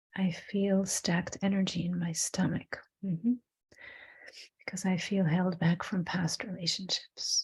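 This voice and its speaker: At a fairly slow pace, a woman speaks with a medium pitch, fairly even intonation and a somewhat breathy sound. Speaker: spiritual workshop teacher. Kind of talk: online workshop teaching; guided breathing meditation.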